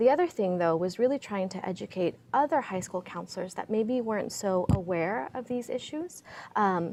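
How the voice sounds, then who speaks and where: A woman at medium pitch with lively intonation and a moderate pace. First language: Spanish. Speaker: PhD candidate and immigrant rights activist. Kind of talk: panel discussion.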